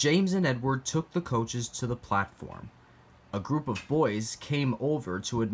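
A natural read-aloud voice, its intonation lively

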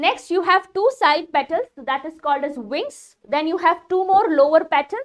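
A woman talks at a moderate pace in an extremely high voice. Her intonation is lively, and the background is quiet. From India. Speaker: biology teacher for exam prep. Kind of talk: live online lecture. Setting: live-streamed online class. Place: studio.

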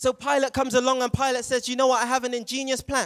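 A man with a British accent, animated in tone, at extremely high pitch and a very fast pace against a quiet background. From England, Jamaican heritage. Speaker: youth preacher. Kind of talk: sermon. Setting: stage with audience. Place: stage. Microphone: handheld.

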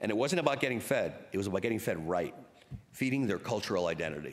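With lively intonation, a man with a fairly low pitch talks at a fast pace.

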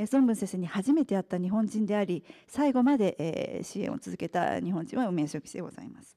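Against a quiet background, a woman with a dark, mellow tone talks at a fairly quick pace, her loudness swinging widely. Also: lively intonation, hardly any pauses. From Japan, partly raised in England. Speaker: author and restaurant executive. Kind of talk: lecture. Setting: press club talk with audience. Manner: formal. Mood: polite formal speech. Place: hall.

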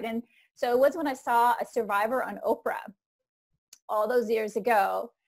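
In an Icelandic accent, a woman with a fairly high pitch speaks at a moderate pace against a quiet background. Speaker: trauma recovery coach. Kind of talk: interview. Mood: warm, reflective, earnest. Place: home room. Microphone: earbuds.

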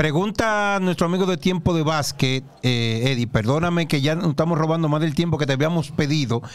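Fairly high in pitch, a man with a Dominican accent keeps his loudness very even. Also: ordinary pitch variation, fairly quick pace, hardly any pauses. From Dominican Republic. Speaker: basketball show host. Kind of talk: sports talk show interview. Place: studio. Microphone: studio mic.

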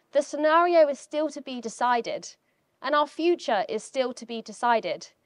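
The woman's intonation is lively. Nothing much sounds behind her. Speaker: climate scientist; keynote speaker. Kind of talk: keynote talk. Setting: stage with audience. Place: hall. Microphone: handheld.

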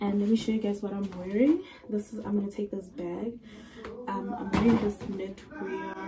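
A woman's voice with ordinary pitch variation over noticeable background noise. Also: moderate pace. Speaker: vlogger. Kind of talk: casual vlog chat. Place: home room. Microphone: phone near.

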